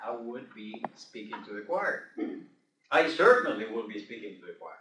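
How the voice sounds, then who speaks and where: The speaker is a man. He talks with a non-native accent. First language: not English. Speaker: Toastmasters club member. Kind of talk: club speech.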